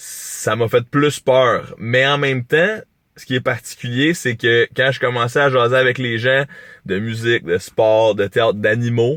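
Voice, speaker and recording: The speaker has a Quebec accent and talks at a fairly slow pace. Pitch variation is ordinary. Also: man. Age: young. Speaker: YouTuber. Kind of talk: vlog monologue. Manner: animated.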